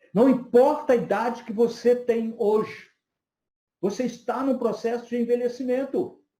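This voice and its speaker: This man's voice sits at an extremely high pitch yet has a dark, mellow tone, moving at a fairly slow pace with fairly even intonation. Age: 50s. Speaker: psychoanalyst and lecturer. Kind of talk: lecture.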